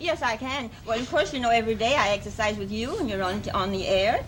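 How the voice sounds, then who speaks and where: A woman speaks at a fairly quick pace with a fairly high pitch. Her intonation is lively, and noticeable background noise is present. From France. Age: 70s. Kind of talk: TV interview answer. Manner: enthusiastic.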